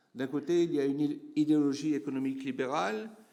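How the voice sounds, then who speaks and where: Here a man talks with a dark, mellow tone. His pace is moderate. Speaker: geographer professor. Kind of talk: conference talk. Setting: conference room with audience. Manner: hesitant, many fillers.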